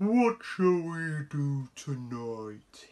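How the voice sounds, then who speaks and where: This put-on character voice sits at a low-to-middle pitch. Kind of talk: bedtime story. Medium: read story.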